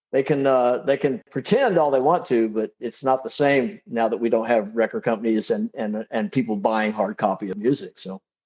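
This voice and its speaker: A man speaks at a moderate pace with hardly any pauses, his medium-pitched voice lively in intonation. The sound is dry and close with no echo, over a quiet background. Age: 60s. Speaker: drummer and songwriter. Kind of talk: interview. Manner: halting, many repeated starts.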